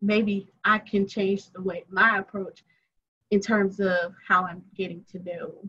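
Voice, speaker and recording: With a Southern US accent, a woman of medium pitch speaks at a fairly slow pace in a bright, sharp tone, flat monotone intonation, and big swings in loudness. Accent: Southern drawl. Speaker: attorney. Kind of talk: casual chat.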